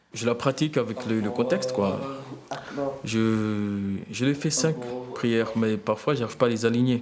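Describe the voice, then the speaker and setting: Fairly even intonation at a moderate pace. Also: man. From Mayotte. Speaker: language technology engineer. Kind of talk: interview testimony. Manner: halting, many fillers and repetitions.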